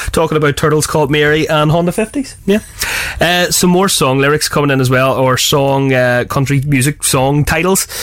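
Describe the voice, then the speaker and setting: The speaker has a Belfast accent. Background noise is noticeable. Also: moderate pace. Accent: Belfast Northern Irish. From Northern Ireland, West Belfast. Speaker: radio host. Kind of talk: casual chat. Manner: animated.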